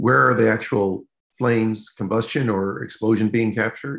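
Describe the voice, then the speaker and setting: Vocal fry marks a man's voice as he speaks at a moderate pace. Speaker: meetup organizer introducing speaker. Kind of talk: announcements and introduction. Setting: video call.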